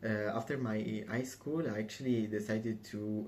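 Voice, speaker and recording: A man with an Italian accent speaks in a fairly low pitch, and audible room echo surrounds his voice. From southern Italy, Calabria. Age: 20s. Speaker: assistant perfumer. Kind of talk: application video monologue. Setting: museum. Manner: hesitant, many fillers.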